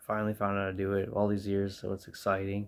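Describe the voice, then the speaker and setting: A soft-spoken man with a fairly low pitch on a very clean recording with a silent background. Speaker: music vlogger. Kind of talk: tutorial. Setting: in bedroom at home. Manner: halting.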